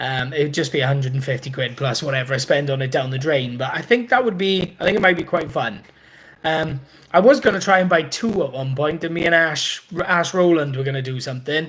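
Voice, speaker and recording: Someone with a Welsh accent talks at a fairly quick pace. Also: man, fairly high pitch for a man, lively intonation. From Wales. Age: 30s. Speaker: motorbike and car YouTuber. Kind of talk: live stream chat reading viewer comments. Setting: live stream from workshop. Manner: casual, hesitant with many fillers.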